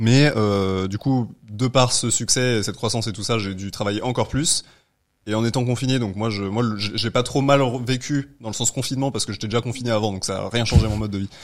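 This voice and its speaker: Fairly quick and fairly even in intonation, an unremarkable speaking voice comes through on a very clean recording with a silent background. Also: man, medium pitch for a man. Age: 20s. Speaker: entrepreneur. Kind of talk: casual chat.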